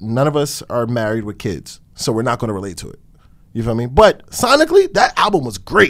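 A man with a New Jersey accent speaks at medium pitch and a fairly quick pace. His loudness swings widely. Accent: New Jersey urban. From Newark, New Jersey. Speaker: rapper. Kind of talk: interview.

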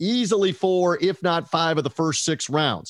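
With an American accent, a man with a fairly high pitch and lively intonation talks at a moderate pace, recorded very cleanly against a silent background with a dry, close sound and no echo. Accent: half Southern US. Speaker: boxing podcast host. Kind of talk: podcast hosting and interview.

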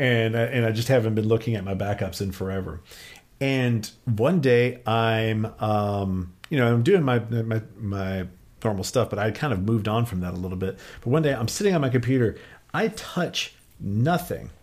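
In a normal speaking voice with ordinary pitch variation, the speaker goes at a moderate pace on a very clean recording with a silent background. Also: man, medium pitch for a man. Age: 40s. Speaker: independent physics researcher. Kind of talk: casual interview. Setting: studio.

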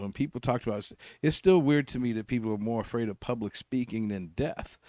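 In a very clean recording with a silent background and a dry, close sound with no echo, a man has an unremarkable speaking voice at medium pitch with ordinary pitch variation. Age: 50s. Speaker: comedian. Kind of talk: casual chat.

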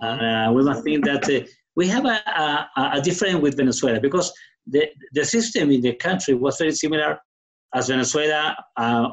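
A man's fairly high voice with a strong Chilean accent, lively intonation and a moderate pace. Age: 60s. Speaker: guest telling his story. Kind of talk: casual conversation, interview. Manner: halting, struggles with English.

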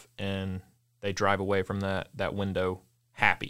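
The recording is very clean with a silent background, and the speaker, in an American accent, keeps a moderate pace. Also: man. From US South, Mississippi. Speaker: coffee shop co-owner. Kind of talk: interview.

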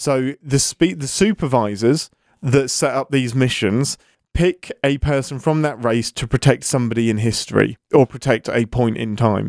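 In a very clean recording with a silent background, a man with an ordinary speaking voice talks at a medium pitch and a moderate pace, with ordinary pitch variation. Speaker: podcast host. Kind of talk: casual chat.

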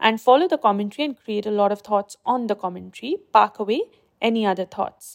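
In an unremarkable speaking voice, a woman talks at a fairly high pitch with ordinary pitch variation, the sound dry and close with no echo on a very clean recording with a silent background. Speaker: meditation guide. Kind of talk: guided meditation. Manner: slow, soft, soothing; calm, gentle, measured.

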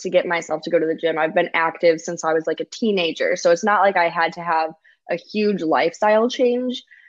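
A woman with an American accent has an ordinary speaking voice at medium pitch, with ordinary pitch variation. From US Midwest, Chicago. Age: 20s. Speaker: lifestyle and wellness blogger. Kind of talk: casual chat.

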